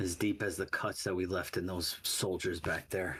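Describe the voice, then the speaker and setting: Put-on character voice from a man, raspy and very deep, at a moderate pace with monotone, flat intonation, very even loudness and clear background noise. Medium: actual play. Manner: low-key, guarded.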